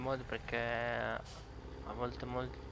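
A man's voice carries audible room echo, with noticeable background noise underneath. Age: 20s. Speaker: gaming streamer. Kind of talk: casual chat.

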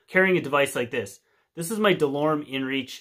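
A man with a Canadian accent talks at a fairly quick pace, his pitch fairly high with ordinary variation. His tone is bright and sharp against a quiet background. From Canada. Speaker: outdoor video creator. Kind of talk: casual tutorial to camera. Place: home room. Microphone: phone near.

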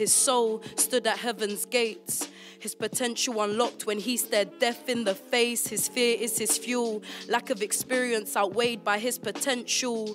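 A woman speaks at a fairly slow pace in a high pitch. Clear music plays in the background. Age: 20s. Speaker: spoken word poet. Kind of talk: spoken word poetry performance. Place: studio. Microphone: studio mic.

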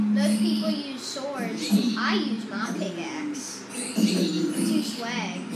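Loud background noise sits behind a woman whose pitch varies in an ordinary way. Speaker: gamer filming the screen. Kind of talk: casual game commentary. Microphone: phone near.

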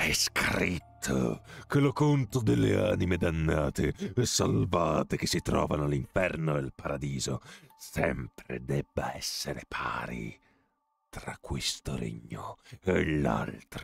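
A put-on character voice, menacing in tone and fairly slow in pace. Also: man, very deep, low pitch for a man. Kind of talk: dramatic gamebook reading. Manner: gloating, menacing, archaic.

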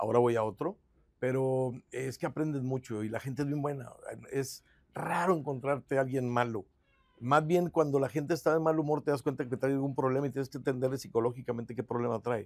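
With a quiet background behind him, a man talks at a fairly quick pace at medium pitch, his intonation fairly even, in an ordinary speaking voice. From Guadalupe, Nuevo León, Mexico; Nuevo León, Mexico. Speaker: mayoral candidate, lawyer; candidate, lawyer. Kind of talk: interview. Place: studio. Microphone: lapel.

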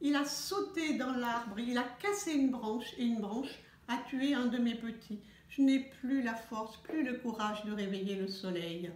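Audible room echo carries a woman's high-pitched voice. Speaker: storyteller. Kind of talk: bedtime story telling, children's tale read aloud. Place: home room. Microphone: phone near.

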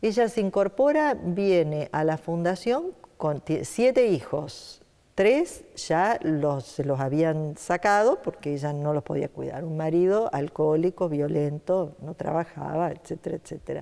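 A woman with a fairly low, dark, mellow voice speaks at a fairly slow pace with lively intonation. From Santa Fe, Argentina. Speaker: nonprofit foundation director; interview guest. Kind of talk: interview. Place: studio. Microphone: lapel.

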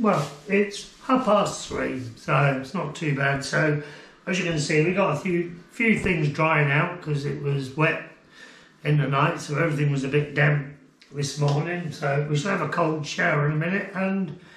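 Audible room echo accompanies speech at a moderate pace with ordinary pitch variation. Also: man. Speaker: touring cyclist vlogger. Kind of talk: casual vlog chat. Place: home room. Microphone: camera far.

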